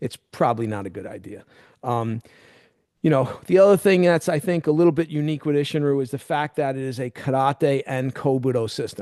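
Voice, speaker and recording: A man speaks at a fairly quick pace in an ordinary speaking voice, medium in pitch with ordinary pitch variation, the sound dry and close with no echo over a quiet background. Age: 60s. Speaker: karate instructor. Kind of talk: interview conversation.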